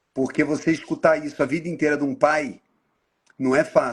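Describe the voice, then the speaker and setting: A man with a fairly high pitch sounds somewhat breathy on a very clean recording with a silent background. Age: 60s. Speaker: NGO leader, live host. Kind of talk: casual interview chat.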